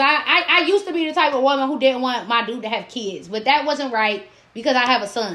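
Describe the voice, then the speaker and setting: A woman's high, raised, projected voice at a very fast pace with lively intonation. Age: 20s. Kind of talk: casual chat.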